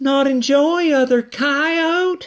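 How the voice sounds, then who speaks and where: Pitched extremely high, the man's voice is a put-on character voice. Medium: read story. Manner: soft, broken-English phrasing.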